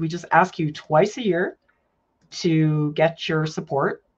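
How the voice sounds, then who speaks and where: A woman's somewhat breathy voice. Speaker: art professor and channel host. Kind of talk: casual livestream Q&A. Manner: relaxed, laughing.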